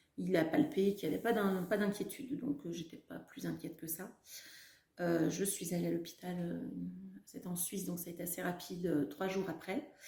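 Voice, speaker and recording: Her tone is dark and mellow, with vocal fry. This woman speaks at a moderate pace with lively intonation. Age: 40s. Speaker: cancer survivor. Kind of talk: testimony. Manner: halting, many fillers.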